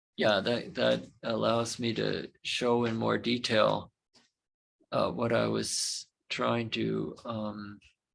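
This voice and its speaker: In a Canadian accent, a man speaks. His pace is very slow. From Canada. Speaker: university lecturer. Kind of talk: lecture. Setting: classroom with remote students. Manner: halting, many fillers and repetitions.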